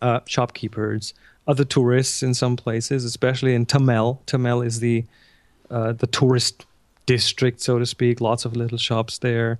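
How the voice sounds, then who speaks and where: In a German accent, a man at medium pitch speaks with monotone, flat intonation at a moderate pace, the sound dry and close with no echo over a quiet background. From Germany. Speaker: photographer and instructor. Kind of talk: interview.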